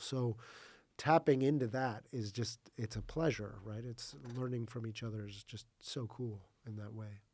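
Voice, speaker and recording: Fairly slow male speech with an American accent, a dark, mellow tone and fairly even intonation. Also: very clean recording, silent background. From US, New Mexico. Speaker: smart building consultant. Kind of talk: podcast interview. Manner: many fillers and repetitions.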